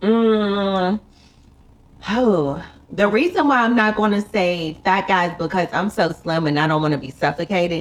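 A woman with an American accent, medium pitch, ordinary pitch variation, an animated tone and a fairly slow pace. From US South, Charlotte, North Carolina. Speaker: YouTuber and TV actress. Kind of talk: casual chat.

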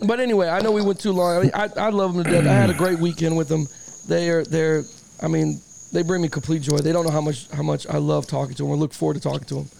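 Very fast speech from a man over noticeable background noise. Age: 40s. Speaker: sports podcast host. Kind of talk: casual chat. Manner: animated.

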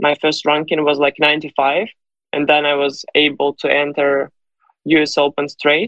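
At a fairly slow pace, a woman speaks in a very deep, low pitch. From Ukraine. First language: Ukrainian or Russian. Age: 20s. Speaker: professional tennis player. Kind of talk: interview. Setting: remote call. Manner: halting, searching for English words.

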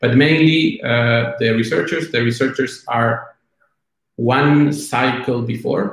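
Somewhat breathy and very slow, a man talks with a Spanish accent and ordinary pitch variation. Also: medium pitch for a man. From Argentina. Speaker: product executive. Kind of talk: interview. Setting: video call. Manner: halting.

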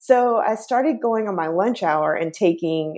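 A woman with an ordinary speaking voice and an American accent talks at a moderate pace with lively intonation. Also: quiet background. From US South, Chattanooga, Tennessee. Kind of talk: interview.

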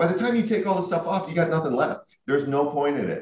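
A man speaks with vocal fry. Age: 40s. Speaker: farm equipment company CEO. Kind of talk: interview.

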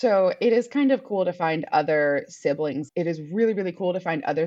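With a plain, everyday voice, a woman speaks at a moderate pace in a fairly low pitch and lively intonation. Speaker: donor-conceived artist and entertainer. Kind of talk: interview.

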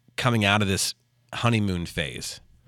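A man with an ordinary speaking voice talks at a moderate pace, at a medium pitch with ordinary pitch variation. The sound is dry and close with no echo, in a very clean recording with a silent background. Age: 30s. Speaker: podcast co-host, youth soccer coach. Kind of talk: casual chat.

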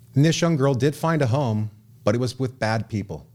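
A man with an American accent speaks in a plain, everyday voice at a fairly quick pace with lively intonation. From Southern California. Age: 30s. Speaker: radio host and memoir author. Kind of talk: radio talk show. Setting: studio.

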